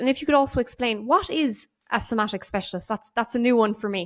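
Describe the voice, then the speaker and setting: Speaking with an Irish accent, a woman uses a fairly high pitch and ordinary pitch variation. The recording is very clean, with a silent background. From Ireland. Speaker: podcast host. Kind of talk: podcast interview. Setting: studio.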